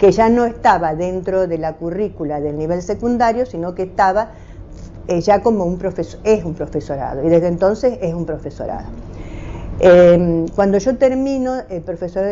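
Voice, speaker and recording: A woman speaks at a medium pitch and a moderate pace amid noticeable background noise. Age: 70s. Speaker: retired teacher. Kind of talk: oral history interview. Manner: halting, many hesitations.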